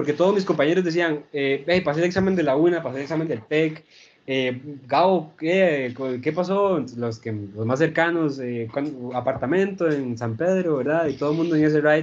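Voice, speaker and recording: In an ordinary speaking voice, a man with a fairly high pitch talks at a moderate pace with ordinary pitch variation. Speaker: neuro-linguistic programming practitioner. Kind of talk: casual interview chat.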